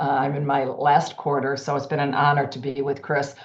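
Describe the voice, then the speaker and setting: Audible room echo surrounds a woman speaking in a very deep, low pitch. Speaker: healthcare executive and cardiology society president. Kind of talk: lecture. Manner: fast.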